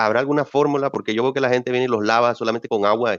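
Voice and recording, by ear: A clear, smooth tone comes at a fast pace with fairly even intonation. The sound is dry and close, with no echo. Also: man, medium pitch for a man.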